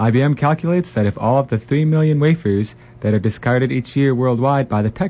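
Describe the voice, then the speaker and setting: A man's somewhat breathy voice, medium in pitch, with lively intonation. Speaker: radio co-host and news reader. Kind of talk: casual chat and news reading. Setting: studio.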